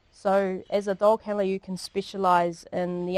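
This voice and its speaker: This woman has a New Zealand accent and a medium pitch. Her intonation is fairly even, and the sound is dry and close with no echo. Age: 40s. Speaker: police dog handler. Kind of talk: public talk. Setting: library talk with audience. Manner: casual, with many fillers.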